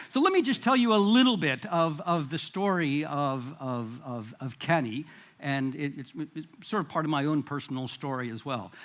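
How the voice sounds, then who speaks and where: A man with a Midwestern accent speaks at a moderate pace. His intonation is lively. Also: fairly high pitch for a man. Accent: American Midwest. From US Midwest. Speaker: international education administrator. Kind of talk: conference presentation. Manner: halting, many fillers and repetitions.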